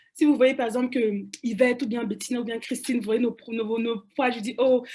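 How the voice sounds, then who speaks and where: Her voice high in pitch yet dark and mellow in tone, a woman speaks at a fairly quick pace with monotone, flat intonation. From Cameroon, Douala. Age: young. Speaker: panelist. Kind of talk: panel discussion. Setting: webinar. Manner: halting, many repetitions and fillers.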